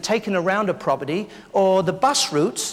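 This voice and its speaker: A man with an English accent talks in a high voice. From London, England. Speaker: keynote speaker, memory consultant. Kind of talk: live keynote speech. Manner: funny, interactive.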